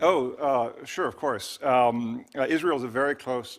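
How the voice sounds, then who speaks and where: The speaker is a man. He talks at a medium pitch. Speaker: expert witness. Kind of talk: testimony. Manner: fast.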